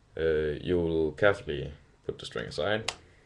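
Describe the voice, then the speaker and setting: A man with a Danish accent, very deep and low in pitch, at a fairly slow pace. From Denmark. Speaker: hobbyist video maker. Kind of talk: tutorial. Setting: webcam recording. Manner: halting, many fillers.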